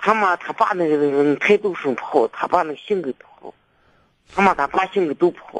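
Recorded with a dry, close sound and no echo, a man talks at a moderate pace and high pitch, with ordinary pitch variation and big swings in loudness. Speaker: caller. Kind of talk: phone call-in advice. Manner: halting.

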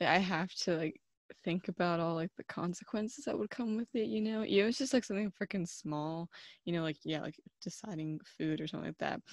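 A woman speaks at a fairly quick pace in a normal speaking voice, her pitch fairly low, with a dry, close sound with no echo and a quiet background. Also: lively intonation. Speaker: podcast host. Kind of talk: casual chat. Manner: filler-heavy, rambling.

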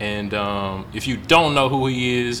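Fairly even intonation, with audible room echo and noticeable background noise. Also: man. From Memphis, Tennessee. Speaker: podcast host. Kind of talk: casual interview.

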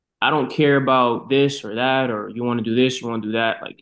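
A man with an American accent, a normal speaking voice, medium pitch, fairly even intonation and a fairly quick pace. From Boston, US. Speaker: marketing professional and designer. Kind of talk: casual interview.

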